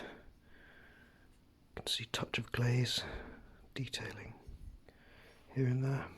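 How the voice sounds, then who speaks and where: Whispering, a man speaks with a British accent. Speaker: potter. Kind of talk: casual talk to camera. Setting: studio. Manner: soft-spoken.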